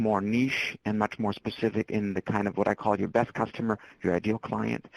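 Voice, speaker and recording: Recorded dry and close with no echo, the voice moves at a fairly quick pace. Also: man. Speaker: marketing and entrepreneurship speaker. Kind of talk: webinar presentation. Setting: webinar. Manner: fast. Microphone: cutting in and out.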